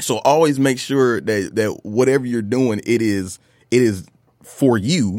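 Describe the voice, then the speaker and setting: A man with an American accent in an ordinary speaking voice, medium in pitch, with ordinary pitch variation at a fairly slow pace. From Detroit, Michigan. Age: 30s. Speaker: hip hop artist. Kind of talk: casual chat.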